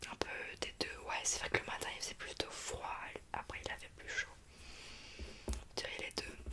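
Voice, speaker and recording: A woman whispering in a gentle tone, with noticeable background noise. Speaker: ASMR creator playing a doctor. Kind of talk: ASMR roleplay, soft consultation talk. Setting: studio, close microphone. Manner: soft-spoken, whispering, gentle.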